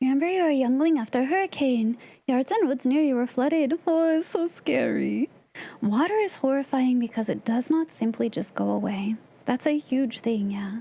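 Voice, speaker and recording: In an American accent, a woman talks at a moderate pace with a high pitch and lively intonation. Her tone is animated and her loudness stays very even. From Southern California. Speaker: game streamer. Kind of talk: casual live-stream chat. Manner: animated, reacting to chat.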